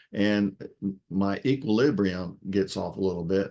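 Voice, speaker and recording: Against a quiet background, a man with a fairly low pitch talks at a fairly slow pace. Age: 60s. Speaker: product reviewer sharing experience. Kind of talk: testimonial. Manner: halting.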